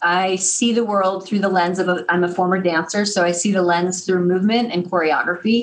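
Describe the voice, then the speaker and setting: Medium-pitched female voice, with an American accent. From Missouri, US Midwest. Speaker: public speaking coach and director. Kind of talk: interview.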